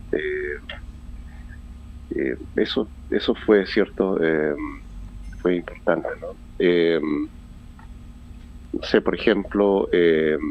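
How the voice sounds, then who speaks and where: A man talks at a very slow pace, leaving long, frequent pauses between his words. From Chile. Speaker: poet. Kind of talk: radio interview answer. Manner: hesitant, many fillers.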